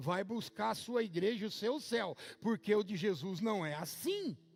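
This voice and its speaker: A man at a fairly slow pace with lively intonation. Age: 60s. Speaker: pastor. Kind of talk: sermon.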